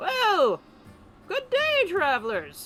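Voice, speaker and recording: The speaker puts on a character voice at an extremely high pitch. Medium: actual play. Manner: folksy, unhurried.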